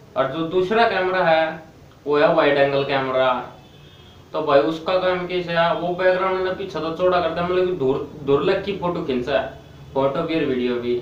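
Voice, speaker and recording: There is noticeable background noise as a man talks with a Haryana accent and ordinary pitch variation. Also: fairly high pitch for a man, moderate pace. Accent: Haryanvi. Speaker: tech reviewer. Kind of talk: casual tech review to camera.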